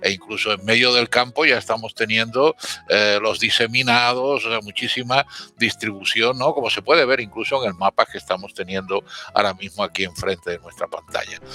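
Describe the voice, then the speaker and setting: Music plays in the background as a man talks at a fairly quick pace. His medium pitch shows ordinary pitch variation. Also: dry, close sound with no echo. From Seville, Andalusia. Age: 70s. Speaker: astrophysicist. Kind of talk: podcast panel discussion.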